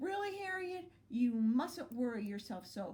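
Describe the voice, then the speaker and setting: Putting on a character voice, a woman speaks high and fairly slowly with very wide pitch swings. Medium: read story. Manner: calm, gentle.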